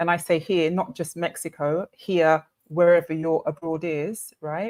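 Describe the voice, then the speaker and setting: A woman with a British accent, fairly slow and fairly even in intonation, on a very clean recording with a silent background. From Britain. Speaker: summit speaker. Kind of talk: panel discussion.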